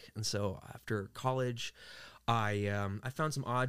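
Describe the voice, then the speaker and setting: A man's fairly low, plain, everyday voice with fairly even intonation, on a very clean recording with a silent background. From US Northeast, Queens, New York. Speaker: voice actor. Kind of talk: casual chat.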